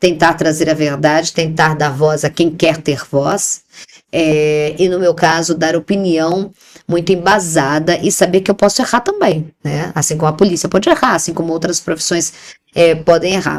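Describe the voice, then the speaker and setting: A woman's fairly deep voice comes at a moderate speed. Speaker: TV journalist and presenter. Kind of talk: interview conversation. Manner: animated; talkative.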